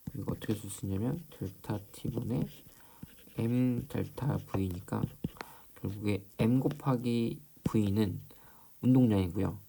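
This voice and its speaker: Long, frequent pauses from a man, at a very slow pace. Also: medium pitch for a man, ordinary pitch variation. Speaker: high school physics teacher. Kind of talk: lecture. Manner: hesitant, many fillers.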